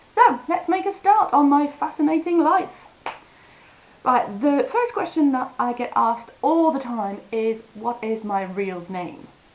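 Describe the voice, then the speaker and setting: A woman speaks at a fairly slow pace with a high pitch and very wide pitch swings. Noticeable background noise runs under her voice. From France. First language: French. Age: 30s. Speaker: language teacher vlogger. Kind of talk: casual vlog. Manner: animated.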